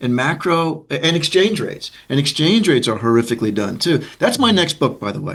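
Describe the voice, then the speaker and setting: A man with an American accent speaks at a fairly quick pace with vocal fry. His pitch swings very widely. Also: fairly high pitch for a man, hardly any pauses. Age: 60s. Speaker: economics professor. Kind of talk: interview conversation. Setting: online video call. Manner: halting, many fillers.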